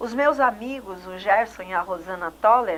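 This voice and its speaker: A normal speaking voice with ordinary pitch variation. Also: woman. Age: 60s. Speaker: TV host. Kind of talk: TV interview. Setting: TV studio.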